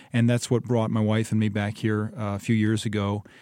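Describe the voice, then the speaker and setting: A man with a Midwestern American accent speaks at a moderate pace in a fairly low pitch and a dark, mellow tone, with monotone, flat intonation on a very clean recording with a silent background. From Michigan (Ypsilanti). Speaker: state representative. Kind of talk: interview. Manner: halting.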